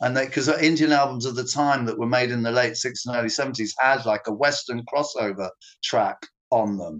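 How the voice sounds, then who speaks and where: At a moderate pace, a man speaks in an ordinary speaking voice with medium pitch and ordinary pitch variation. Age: 50s. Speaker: former band manager and record label owner. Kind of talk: interview.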